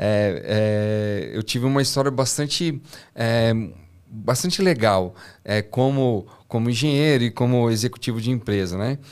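A man at a fairly slow pace, with very even loudness and ordinary pitch variation, over a quiet background. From Brazil, São José dos Campos; Brazil. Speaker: engineer and startup founder; podcast guest. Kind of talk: interview. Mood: reflective, sometimes somber. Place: studio. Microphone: studio mic.

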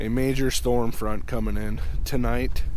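The sound is dry with no echo. A man speaks over light background noise. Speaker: outdoor fishing vlogger. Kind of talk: casual vlog chat. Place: open country. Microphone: phone near.

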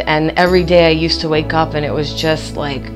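Over clear music in the background, a woman with a very deep, low pitch speaks in monotone, flat intonation. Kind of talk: interview answer. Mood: warm, grateful. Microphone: lapel.

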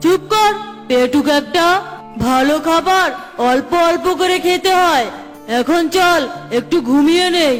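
A cartoonish character voice moves at a fairly slow pace over clear music in the background. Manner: gruff, bullying.

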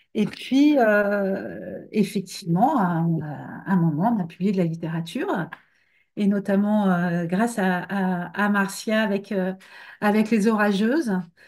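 Her speech comes at a very slow pace, this woman using ordinary pitch variation. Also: quiet background. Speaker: book editor. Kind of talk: interview. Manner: halting. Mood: relaxed, thoughtful. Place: home room. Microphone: webcam.

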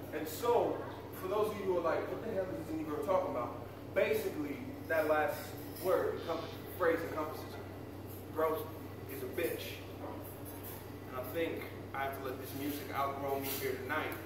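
A man speaks at a moderate pace with lively intonation and long, frequent pauses, over noticeable background noise and audible room echo. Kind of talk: stage banter introducing songs. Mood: reflective, then humorous. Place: cafe.

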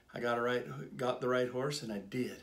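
With an American accent and fairly even intonation, a man speaks in a plain, everyday voice at a medium pitch. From Southern California. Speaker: horse dealer and auctioneer. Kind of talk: casual talk to camera. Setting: studio.

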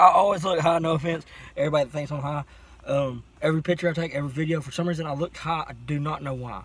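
The sound is dry with no echo. A man's intonation is fairly even as he talks at a very fast pace. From US South. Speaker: friend helping with car. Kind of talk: casual chat. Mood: relaxed, joking. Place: car. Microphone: phone near.

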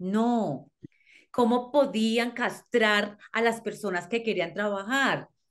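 Over a quiet background, a woman speaks at a very slow pace. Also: fairly high pitch for a woman, ordinary pitch variation. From Colombia. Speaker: criminologist and psychologist. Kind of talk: interview. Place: home room. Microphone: video call.

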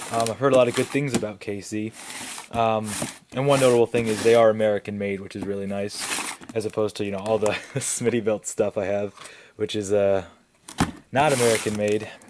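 A man speaks fairly quickly in a fairly low voice with fairly even intonation. Noticeable background noise runs underneath. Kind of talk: casual unboxing commentary. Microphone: phone near.

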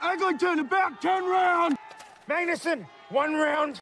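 A man puts on a character voice with an extremely high pitch and a bright, sharp tone. He talks at a slow pace with ordinary pitch variation.

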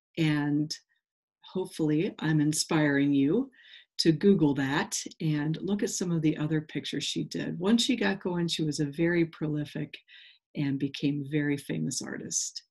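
At a moderate pace, the voice has a slightly husky edge, a slightly mellow tone and ordinary pitch variation. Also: woman, low pitch for a woman.

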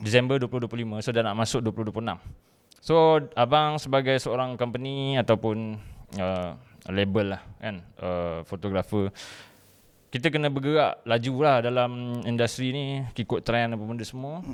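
This man has an unremarkable speaking voice, medium in pitch, moving at a fairly slow pace with ordinary pitch variation. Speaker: podcast host. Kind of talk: casual chat.

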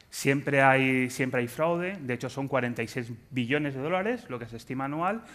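At a moderate pace, a man of medium pitch talks with lively intonation. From Spain. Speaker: telecom anti-fraud specialist, conference speaker; conference speaker. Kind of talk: conference talk. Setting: stage with audience. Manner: joking, animated. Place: stage.

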